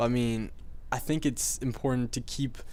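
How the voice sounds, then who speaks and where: Speaking with an unremarkable speaking voice, a man keeps a moderate pace and fairly even intonation. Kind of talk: video game commentary. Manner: casual, rambling.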